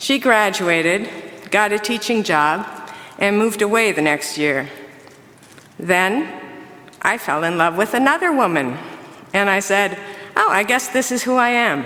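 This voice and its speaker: Over noticeable background noise, a woman with an Upper Midwest accent speaks in a medium pitch with lively intonation, very even loudness, and long, frequent pauses. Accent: Upper Midwest American. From Minnesota. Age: 60s. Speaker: church member. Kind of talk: testimony.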